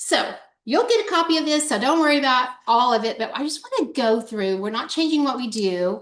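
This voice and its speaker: With lively intonation, a woman talks fairly quickly in a high pitch. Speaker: sales trainer. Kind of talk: online training session. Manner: fast.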